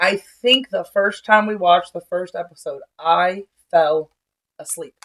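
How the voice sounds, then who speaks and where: A plain, everyday voice speaks fairly slowly with ordinary pitch variation and big swings in loudness, in a dry, close sound with no echo. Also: woman, medium pitch for a woman. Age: 30s. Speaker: podcast co-host. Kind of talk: casual chat. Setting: at home.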